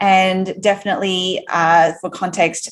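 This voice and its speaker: A woman with a medium pitch speaks in an Australian accent. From Australia, Sydney. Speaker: entrepreneur, company founder. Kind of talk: podcast interview.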